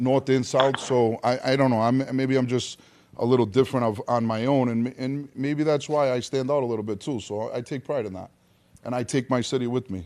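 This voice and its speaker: A man with a strong Rhode Island accent, fairly quick pace and fairly even intonation. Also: medium pitch for a man. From Rhode Island, US. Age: 40s. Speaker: actor. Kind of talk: casual chat.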